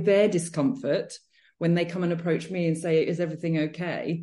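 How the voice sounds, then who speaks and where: In a British accent, a woman talks at a moderate pace with a dark, mellow tone. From Britain. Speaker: podcast host and personal trainer. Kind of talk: podcast interview.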